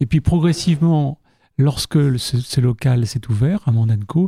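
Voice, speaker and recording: A dark, mellow tone and a somewhat breathy quality mark this man's voice. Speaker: cultural association volunteer. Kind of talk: radio interview.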